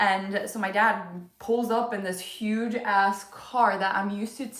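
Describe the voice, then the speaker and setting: A fairly slow woman's voice, fairly high in pitch with fairly even intonation, with audible room echo and noticeable background noise. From Poland (moved to US at ten). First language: Polish. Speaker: vlogger. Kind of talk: casual livestream chat.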